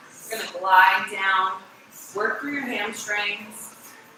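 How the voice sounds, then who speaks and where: A woman speaks at a very slow pace amid noticeable background noise and audible room echo. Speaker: fitness instructor. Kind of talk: workout instruction. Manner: loud.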